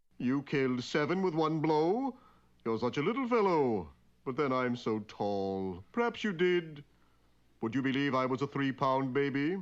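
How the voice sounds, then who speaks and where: A man's cartoonish character voice, fairly high in pitch, against a quiet background. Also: moderate pace. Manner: mild, polite, slightly theatrical.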